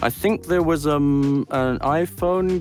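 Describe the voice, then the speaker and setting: Music is playing behind the voice. The delivery is fairly slow. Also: man. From Scotland. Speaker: voice actor. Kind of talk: interview answer.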